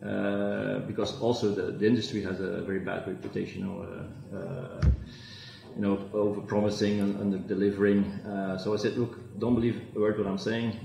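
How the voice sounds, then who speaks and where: A man with a Flemish accent, fairly low pitch and fairly even intonation at a fairly quick pace, audible room echo and light background noise. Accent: Belgian (Flemish) English. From Belgium. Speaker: fintech entrepreneur; guest. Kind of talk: interview. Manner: halting, many fillers. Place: office. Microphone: video call.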